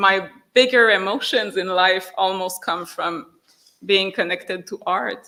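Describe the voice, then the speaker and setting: This woman has a French accent and a medium pitch. Her intonation stays fairly even. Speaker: writer. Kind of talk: public discussion with audience. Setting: hall with audience. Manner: halting.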